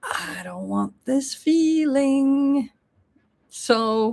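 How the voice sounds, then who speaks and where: With a non-native accent, a woman speaks in a high pitch with very wide pitch swings. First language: not English. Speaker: spiritual teacher. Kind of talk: livestream monologue. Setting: live YouTube stream.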